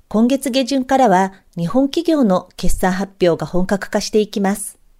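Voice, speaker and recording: A woman's fairly high voice with a dark, mellow tone, lively intonation and a fairly slow pace. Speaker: stock trader and blogger. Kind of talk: scripted market commentary. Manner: formal.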